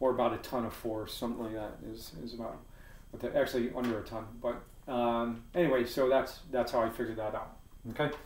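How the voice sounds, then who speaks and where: A man talks very fast at a medium pitch, with audible room echo. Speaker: physics teacher. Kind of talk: tutorial. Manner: casual, with fillers.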